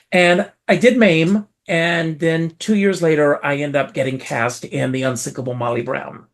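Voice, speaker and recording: Speaking at a moderate pace with hardly any pauses, a man with an American accent has a plain, everyday voice, fairly high in pitch, with lively intonation. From US South, South Carolina. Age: 60s. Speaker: entertainer. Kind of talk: interview storytelling.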